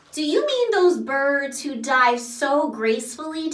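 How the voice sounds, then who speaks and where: A woman uses a put-on character voice at a high pitch. Her voice is raised and projected, and the pace is fairly slow. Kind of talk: picture book read-aloud to children. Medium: read story. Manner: loud, hearty, playful.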